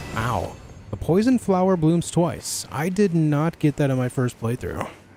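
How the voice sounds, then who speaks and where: Fairly slow speech with lively intonation in an American accent, over music in the background. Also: man, fairly high pitch for a man. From US, New York. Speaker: gaming streamer. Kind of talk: live gameplay stream chat. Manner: articulate; halting.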